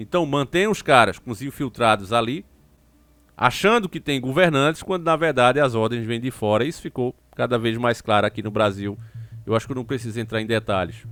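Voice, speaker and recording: Animated in tone, a man with a northeastern Brazilian accent speaks at a medium pitch with ordinary pitch variation. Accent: drawling northeastern Brazilian. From Northeast Brazil. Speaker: YouTube political commentator. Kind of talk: political commentary monologue.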